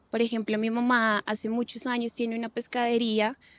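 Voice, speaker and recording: Recorded very cleanly against a silent background, with a dry, close sound and no echo, a woman speaks at a moderate pace in a fairly high voice. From Colombia, Bogotá. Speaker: lawyer and gender expert. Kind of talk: interview conversation.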